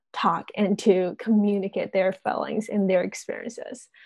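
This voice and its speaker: The voice has a dark, mellow tone and a Chinese accent, set against a quiet background. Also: woman. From China. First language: Mandarin Chinese. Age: 20s. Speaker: university student. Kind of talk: interview.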